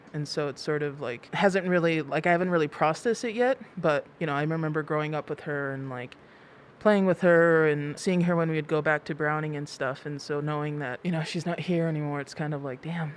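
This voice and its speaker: At a fairly quick pace, a woman talks in a very deep, low pitch with ordinary pitch variation. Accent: American. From Blackfeet Reservation, Montana, US. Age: 20s. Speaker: activist and documentary filmmaker. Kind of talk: casual chat.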